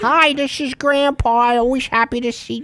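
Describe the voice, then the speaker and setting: The voice sounds female and is a put-on character voice. It is pitched high. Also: moderate pace. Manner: warm, friendly.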